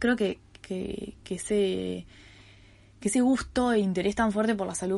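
A woman with a Uruguayan accent, dark, mellow and somewhat breathy, at a moderate pace with fairly even intonation, against a quiet background. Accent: Uruguayan Rioplatense Spanish. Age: 20s. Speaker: podcast host, student. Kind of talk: casual monologue. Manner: hesitant, many fillers and repetitions.

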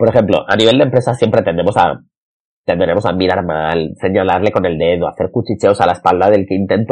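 A man speaks at a very fast pace. His pitch shows ordinary variation. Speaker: podcast host and marketing consultant. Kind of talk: solo podcast monologue. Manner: halting, repeats words.

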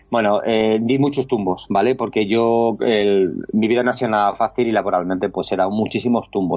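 At a moderate pace, a man speaks at a medium pitch in a normal speaking voice. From Spain, Alcalá de Henares (Madrid region). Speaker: illustrator and artist. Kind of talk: casual interview chat. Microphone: lag on the connection.

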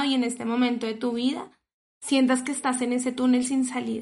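Speaking with a Colombian accent, a woman with a high pitch keeps a monotone, flat intonation at a moderate pace. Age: 30s. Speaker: podcast host and psychologist. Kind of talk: interview; scripted intro.

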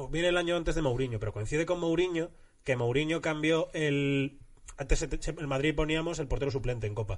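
Here is a man with an ordinary speaking voice. His pitch is fairly high. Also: ordinary pitch variation, fairly quick pace. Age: 30s. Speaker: comedian. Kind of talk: casual chat.

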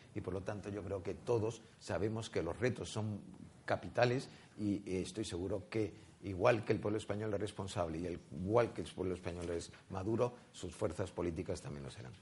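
This man speaks at a moderate pace in a fairly low, somewhat breathy voice with ordinary pitch variation. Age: 60s. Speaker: politician. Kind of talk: political debate.

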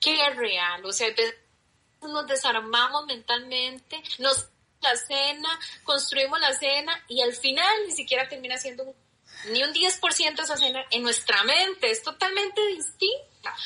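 In a Costa Rican accent, a woman projects a raised, high voice with a bright, sharp tone, lively intonation and a fairly slow pace. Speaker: guest. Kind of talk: casual chat.

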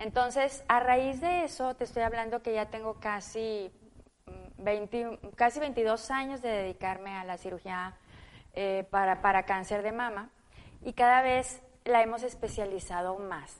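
This is an ordinary speaking voice with ordinary pitch variation. The pace is fairly slow. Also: woman, fairly high pitch for a woman. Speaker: surgical oncologist. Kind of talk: interview.

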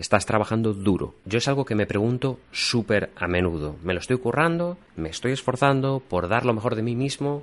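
Lively intonation carries along at a moderate pace with hardly any pauses. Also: man, medium pitch for a man, quiet background. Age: 30s. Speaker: podcast host. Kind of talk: reflective monologue. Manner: intimate, reflective.

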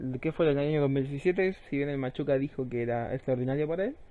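This man speaks with a Chilean accent in a fairly high voice. His pace is fairly quick and his intonation fairly even. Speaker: gaming podcast host. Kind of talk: casual chat. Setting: live stream.

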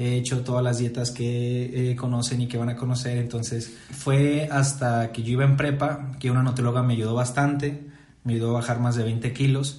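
A man of medium pitch speaks at a moderate pace in a monotone, flat intonation with hardly any pauses. There is noticeable background noise and audible room echo. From Mexico, Saltillo, Coahuila. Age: 20s. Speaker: nutritionist and podcast host. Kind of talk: casual chat.

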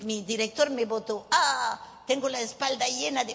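Over noticeable background noise, a woman talks at a fairly high pitch and a fairly slow pace. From southwestern France (Bordeaux, Bayonne). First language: French (speaking Spanish). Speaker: psychic medium. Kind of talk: workshop talk to a live audience. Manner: animated.

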